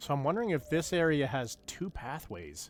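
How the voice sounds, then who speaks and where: A man with a Canadian accent has a normal speaking voice at a fairly high pitch. He talks at a fairly quick pace with lively intonation. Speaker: gaming streamer. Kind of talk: casual live gameplay commentary.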